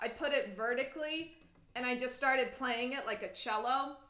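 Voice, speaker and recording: Bright and sharp in tone, the animated delivery has ordinary pitch variation, with audible room echo over a quiet background. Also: woman. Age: 20s. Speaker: cello teacher; teacher. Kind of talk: livestream Q&A. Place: home room. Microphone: webcam.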